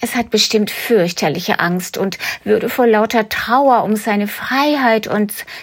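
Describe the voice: Everything is plain reading aloud. Pitch moves in an ordinary way.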